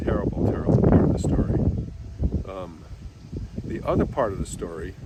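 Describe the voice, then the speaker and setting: A man with an American accent talks at a fairly quick pace with big swings in loudness, amid noticeable background noise and audible room echo. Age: 70s. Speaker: psychotherapist. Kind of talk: personal storytelling. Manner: halting.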